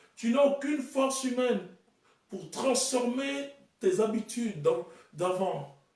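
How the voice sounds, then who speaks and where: A man with a high pitch talks at a fairly slow pace, swinging very widely in pitch. The room echo is audible. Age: 30s. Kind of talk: sermon.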